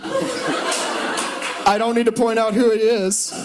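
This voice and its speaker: A man speaks loudly over noticeable background noise. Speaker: law student doing comedy. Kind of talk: stand-up. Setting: stage with audience. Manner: animated.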